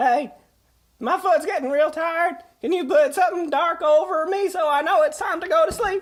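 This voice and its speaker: A put-on character voice pitched extremely high comes at a moderate pace. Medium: audio drama. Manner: rambling, crude, drawling.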